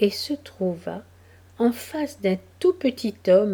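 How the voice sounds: The voice reads naturally, its intonation lively throughout.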